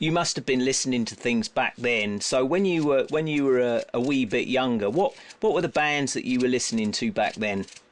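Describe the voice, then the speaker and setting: A man's medium-pitched voice with lively intonation, a fairly quick pace and hardly any pauses. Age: 60s. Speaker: musician and studio owner hosting podcast. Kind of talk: casual chat.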